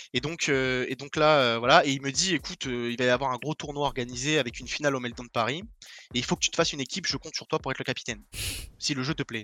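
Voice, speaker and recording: Very fast and fairly even in intonation, a man's medium-pitched voice comes through bright and sharp, dry and close with no echo, on a very clean recording with a silent background. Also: big swings in loudness. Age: 20s. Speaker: esports pro player. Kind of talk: podcast interview.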